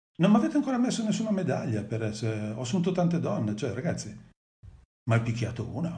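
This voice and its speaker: With audible room echo around him, a man speaks at a very fast pace. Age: 50s. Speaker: father of the host, guest speaker. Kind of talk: live stream interview, personal testimony.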